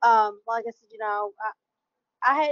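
A woman's fairly high voice with an American accent, an ordinary speaking voice with fairly even intonation against a quiet background. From US South. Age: 40s. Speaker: panelist. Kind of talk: panel discussion. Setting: video call. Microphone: video call.

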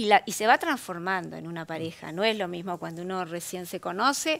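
Her pitch varies in an ordinary way as the woman delivers her words at a moderate pace. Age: 50s. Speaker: psychologist and sex therapist; guest. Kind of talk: interview. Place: studio.

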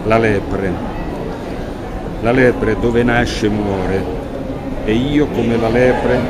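A very slow pace with long, frequent pauses over loud background noise. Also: man. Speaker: poet. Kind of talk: poetry reading. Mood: calm, reflective. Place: street. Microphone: phone near.

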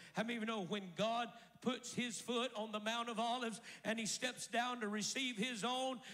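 With an American accent and an animated tone, a man speaks at an extremely high pitch and a moderate pace against a quiet background. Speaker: preacher. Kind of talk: sermon. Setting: church with congregation. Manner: animated, rousing call-and-response preaching; declarative, driving cadence with repeated 'I declare' phrases. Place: church. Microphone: handheld.

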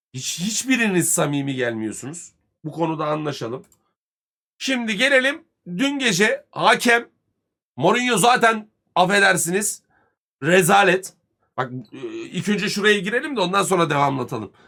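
A man speaks in a raised, projected voice that is high-pitched, bright and sharp, with very wide pitch swings, a fairly slow pace and long, frequent pauses. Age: 30s. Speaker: football commentator streamer. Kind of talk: live stream rant. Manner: heated.

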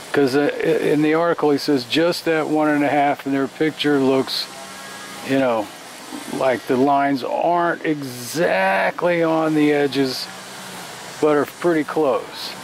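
Over music in the background, the voice comes through dry with no echo, at a fairly slow pace, with fairly even intonation and very even loudness. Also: man. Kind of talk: tutorial. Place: workshop. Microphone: phone near.

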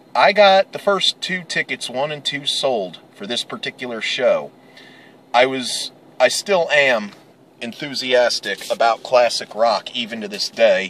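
A man at a fairly slow pace with big swings in loudness, dry sound with no echo and light background noise. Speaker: vlogger. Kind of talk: casual vlog chat. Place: car.

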